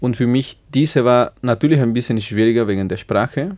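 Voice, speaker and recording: With a Spanish accent, a man speaks using fairly even intonation. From Bolivia, small village. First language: Spanish (speaking German). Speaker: music student. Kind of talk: radio interview. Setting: studio. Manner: halting.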